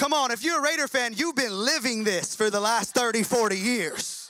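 The voice is raised and projected, with an animated tone. Its pitch varies in an ordinary way. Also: man. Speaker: pastor. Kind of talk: sermon. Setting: church. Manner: fast talker.

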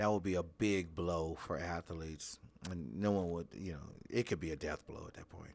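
Speaking with an American accent at a moderate pace, the voice keeps a fairly even intonation while its loudness swings a lot. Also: man, very deep, low pitch for a man. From Los Angeles. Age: 50s. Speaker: high school basketball coach. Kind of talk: interview.

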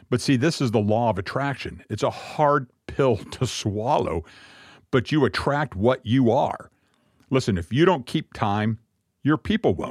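Over a silent background in a very clean recording, a man with a normal speaking voice talks at a fairly slow pace with lively intonation and dry, close sound with no echo. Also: medium pitch for a man. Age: 50s. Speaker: messianic congregation leader. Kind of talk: sermon-style talk.

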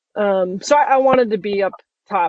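In a normal speaking voice with an American accent, the speaker talks with fairly even intonation. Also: woman. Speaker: military pilot. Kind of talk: casual chat.

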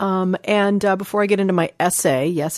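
A woman speaks in an unremarkable speaking voice at a fairly quick pace, with medium pitch and ordinary pitch variation. The sound is dry and close with no echo, over a quiet background. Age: 40s. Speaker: podcast host and life coach. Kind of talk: casual chat and essay reading.

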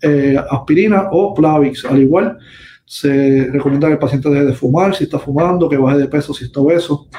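Fairly high for a man, this voice moves at a fairly quick pace with fairly even intonation. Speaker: vascular surgeon. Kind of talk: medical educational talk. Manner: halting, many fillers.

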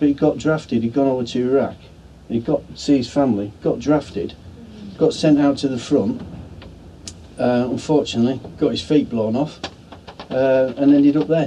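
Over noticeable background noise, someone with a northern English accent talks at a moderate pace with ordinary pitch variation. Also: man. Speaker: military veteran. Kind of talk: casual chat. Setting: outdoors.

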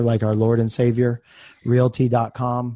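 Against a quiet background, a man speaks at medium pitch with a dark, mellow tone. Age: 30s. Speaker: real estate business owner. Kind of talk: interview. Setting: remote call. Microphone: good mic.

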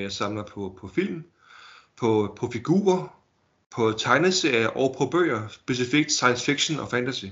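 At a fairly slow pace, a man speaks at a medium pitch with lively intonation. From Denmark, Holbæk (Zealand). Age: 30s. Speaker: collector. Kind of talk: casual interview. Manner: halting, many fillers and repetitions.

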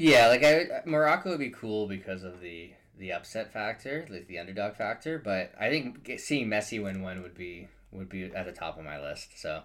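A man's fairly low pitch at a moderate pace, with very wide pitch swings and big swings in loudness. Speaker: sports podcast host. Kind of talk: casual chat.

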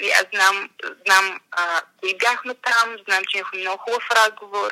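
A woman speaking with ordinary pitch variation. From Bulgaria, Montana town. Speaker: business journalist. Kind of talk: interview conversation. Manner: hesitant, with fillers.

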